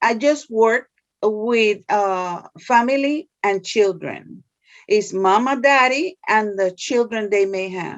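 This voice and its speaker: A woman speaks very slowly with a Spanish accent. Her pitch is fairly high, and it varies in an ordinary way. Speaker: social services case worker. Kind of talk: interview. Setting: video call.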